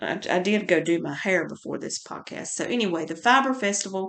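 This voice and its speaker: A woman speaks with a North Carolina accent at a moderate pace. Her pitch is medium, with ordinary variation. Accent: Surry County country. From North Carolina, Surry County. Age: 50s. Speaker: podcaster. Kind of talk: casual chat. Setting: home. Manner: halting.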